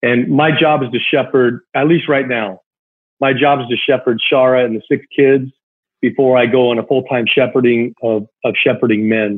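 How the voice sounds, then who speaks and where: A man talks in a normal speaking voice at medium pitch. His pitch varies in an ordinary way. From Southern California. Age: 40s. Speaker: retired baseball player. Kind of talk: casual interview chat.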